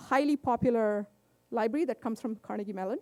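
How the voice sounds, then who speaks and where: A woman talks loudly at a very fast pace with ordinary pitch variation. Her tone is dark and mellow, and the sound is dry and close with no echo. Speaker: tech conference speaker. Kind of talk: conference talk. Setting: stage with audience.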